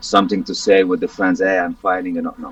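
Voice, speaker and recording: Over noticeable background noise, a man with a Romanian accent talks at a very fast pace, the sound dry and close with no echo. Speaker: MMA fighter. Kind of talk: interview. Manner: halting, repetitive.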